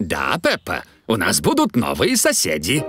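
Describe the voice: In a cartoonish character voice, a man talks at a low pitch and fairly slow pace, his fairly bright tone carrying a slightly husky edge and very wide pitch swings, with faint music in the background.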